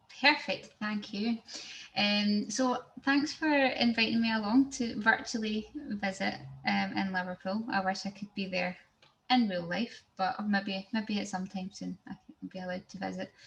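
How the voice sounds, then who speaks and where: With a Glaswegian accent, a woman speaks at medium pitch with ordinary pitch variation. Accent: Glaswegian Scottish. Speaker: software engineer, tech speaker. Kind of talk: technical presentation. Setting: video call. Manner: fast.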